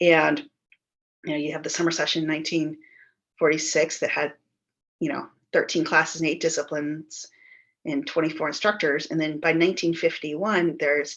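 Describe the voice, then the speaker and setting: Against a quiet background, a woman talks in a very deep, low pitch. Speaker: local historian presenting a project. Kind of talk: presentation over video call. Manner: fast.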